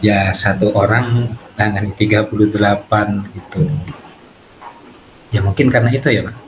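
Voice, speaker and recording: Against noticeable background noise, a man with a fairly low voice talks at a moderate pace, using fairly even intonation and long, frequent pauses. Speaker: primary school teacher (coachee). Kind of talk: role-play coaching conversation.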